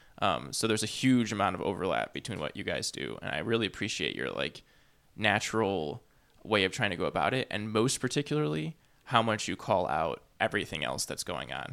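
A man with a fairly low pitch, a bright, sharp tone and vocal fry speaks at a fairly quick pace with very wide pitch swings, captured on a very clean recording with a silent background. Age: 30s. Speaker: podcast host. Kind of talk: casual chat. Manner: halting.

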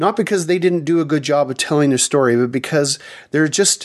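Fairly high for a man, this unremarkable speaking voice has ordinary pitch variation.

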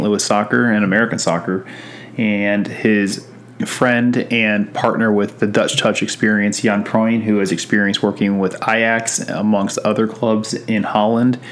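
Against noticeable background noise, a man speaks at a moderate pace and fairly low pitch, with monotone, flat intonation. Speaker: podcast host. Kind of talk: interview.

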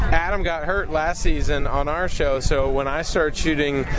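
A man speaks with audible room echo. Noticeable background noise is also present. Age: 30s. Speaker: TV car show co-host. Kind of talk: casual interview. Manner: animated.

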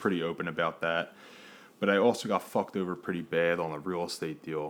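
In an American accent, a man speaks with a very deep, low pitch at a moderate pace. The recording is very clean, with a silent background. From Philadelphia. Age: 20s. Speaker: podcast host. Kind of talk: solo monologue. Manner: animated.

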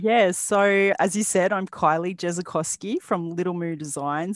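Against a quiet background, a woman with an Australian accent speaks with fairly even intonation. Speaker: bag pattern designer and small business owner. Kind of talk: interview. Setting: remote call from Australia.

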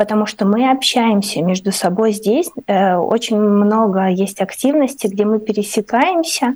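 A woman with an ordinary speaking voice talks at a fairly slow pace and a fairly high pitch, with ordinary pitch variation. She takes hardly any pauses, and her loudness stays very even. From Ukraine. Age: 30s. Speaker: artist and writer. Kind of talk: radio interview. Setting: remote call into radio studio.

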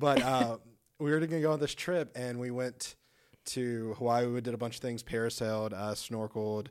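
A man talks in a Texan accent. His pitch sits in the medium range. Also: fairly even intonation, moderate pace. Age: 20s. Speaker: church intern and college student. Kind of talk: casual faith podcast chat.

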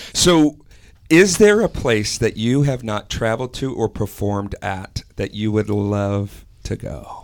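A man's normal speaking voice, fairly low in pitch, with an American accent, lively intonation, and a fairly slow pace. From Wisconsin, US. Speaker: pastor and podcast host. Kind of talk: casual chat.

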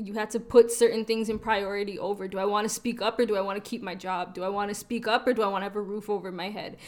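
A woman speaks at medium pitch in a Toronto accent. Her intonation is flat and monotone, and the recording is very clean with a silent background. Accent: Canadian (Toronto). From Toronto, Canada (North York), Trinidadian and Guyanese family. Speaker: podcast co-host, blog editor. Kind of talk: casual group discussion.

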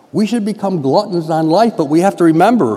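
With noticeable background noise, a man with a high pitch talks at a fairly quick pace using lively intonation. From Western New York. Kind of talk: mission appeal talk in church.

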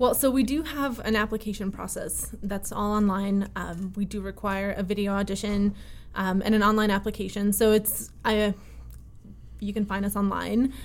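In an unremarkable speaking voice, a woman with an American accent speaks at a moderate pace, her medium pitch carried by fairly even intonation. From Connecticut, US (early childhood in Russia). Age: 20s. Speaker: violinist and festival co-director. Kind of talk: interview conversation.

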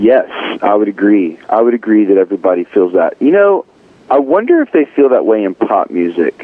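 Noticeable background noise sits behind a man whose loudness stays very even. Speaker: singer-songwriter. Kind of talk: interview.

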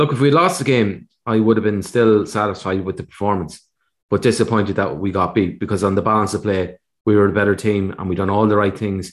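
A man speaks with an Irish accent at a fairly quick pace, his pitch fairly low. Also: ordinary pitch variation. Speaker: podcast co-host, analyst. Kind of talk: casual chat. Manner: measured, analytical.

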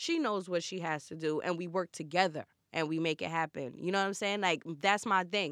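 A woman with a New York accent talks fairly quickly at a fairly low pitch and with fairly even intonation, recorded with a dry, close sound and no echo. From Brooklyn, New York. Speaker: celebrity stylist. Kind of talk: casual chat.

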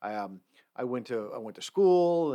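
A man with a dark, mellow tone and medium pitch speaks with lively intonation in a very clean recording with a silent background. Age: 50s. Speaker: campus safety director. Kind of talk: casual chat. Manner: halting.

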